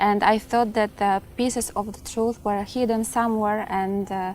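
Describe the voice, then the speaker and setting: A woman's fairly high voice comes through with music in the background. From Poland. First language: Polish. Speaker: convert to Islam, student of religious knowledge. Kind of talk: personal testimony. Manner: halting, with frequent fillers.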